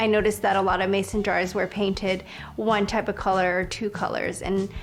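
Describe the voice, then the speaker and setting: Over music in the background, a woman talks at a very fast pace in a monotone, flat intonation. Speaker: custom painter, artist. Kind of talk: documentary interview answer.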